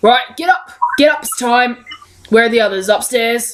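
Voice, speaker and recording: A gruff, put-on character voice from a woman, high in pitch, at a moderate pace. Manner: brusque, commanding.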